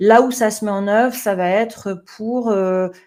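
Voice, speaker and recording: A woman of medium pitch talks at a fairly slow pace with fairly even intonation. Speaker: management trainer. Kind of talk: webinar presentation. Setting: online webinar. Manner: hesitant, many fillers.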